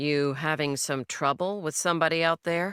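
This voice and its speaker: A put-on character voice at a middle pitch and moderate pace, in a very clean recording against a silent background. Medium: read story. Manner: laconic, dry.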